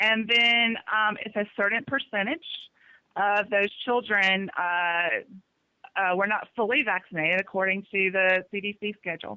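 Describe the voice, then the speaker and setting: A woman speaks with a Southern US accent. Her pitch varies in an ordinary way. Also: medium pitch for a woman, moderate pace. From US South. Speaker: caller sharing experience with pediatric practice. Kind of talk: radio call-in talk.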